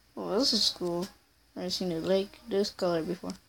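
Against noticeable background noise, a woman talks in a mid-range pitch. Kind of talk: casual video game commentary.

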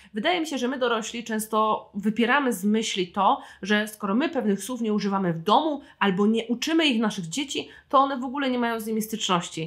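With an animated tone, a woman with a fairly high pitch and ordinary pitch variation speaks very fast with hardly any pauses. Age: 20s. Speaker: podcast host and writer. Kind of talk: solo book review podcast.

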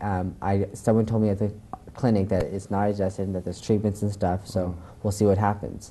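A man talks very fast in a monotone, flat intonation, his pitch fairly low. His tone is dark and mellow, with light background noise behind him. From US, moved around. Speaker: TV talk show guest. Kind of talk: interview. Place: studio. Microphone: lapel.

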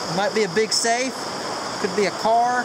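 A man talks over loud background noise. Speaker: outdoor explorer vlogger. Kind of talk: casual vlog chat. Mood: mildly disappointed, easygoing. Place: waterside. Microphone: phone near.

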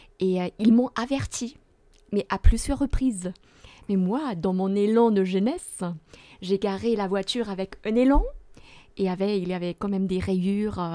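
A woman speaks in a dark, mellow tone at a fairly slow pace. Her pauses are long and frequent. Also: ordinary pitch variation. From Germany. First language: German (speaking French). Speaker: theology professor. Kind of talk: Bible study discussion. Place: studio. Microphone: studio mic.

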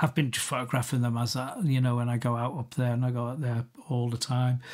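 A man with a Liverpool accent speaks at a fairly quick pace and medium pitch in a monotone, flat intonation. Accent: Scouse (Liverpool). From Liverpool, England. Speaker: photographer. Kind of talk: interview conversation. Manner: halting, many restarts.

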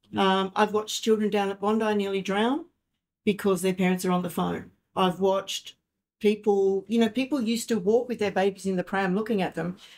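Against a quiet background, a woman speaks at a fairly quick pace. Her intonation stays fairly even. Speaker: artist and art teacher; art teacher. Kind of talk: panel discussion. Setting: live event with audience. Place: meeting room. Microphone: camera far.

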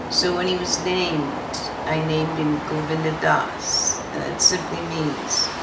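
A woman talks at a fairly slow pace. Loud background noise fills the recording. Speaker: interviewee. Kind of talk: interview answer. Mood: calm, reflective. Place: home room.

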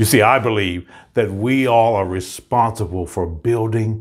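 At a very slow pace, a man talks in a fairly low pitch. The background is quiet. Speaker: motivational coach. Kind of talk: motivational pep talk and promo. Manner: energetic, upbeat, rallying; emphatic, declarative, inspirational. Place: studio. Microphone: lapel.

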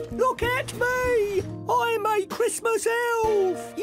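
An extremely high, put-on character voice speaks at a very slow pace. Clear music plays in the background. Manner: playful.

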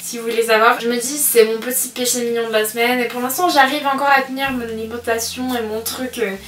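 A woman speaks fast at a fairly high pitch, with little pitch movement. Background noise is clear.

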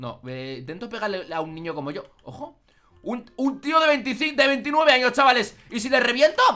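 A man with a Spanish accent at a moderate pace. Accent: Peninsular Spanish. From Spain. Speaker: gaming youtuber. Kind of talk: let's play commentary; excited gameplay commentary. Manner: animated; excitable, exclaiming. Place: home room. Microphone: studio mic.

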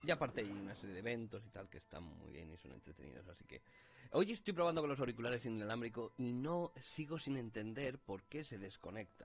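Over light background noise, a man with vocal fry speaks at a fairly quick pace with big swings in loudness. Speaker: gaming youtuber. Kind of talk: let's play commentary. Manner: casual, rambling with filler words. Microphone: distorted audio in parts; headset.

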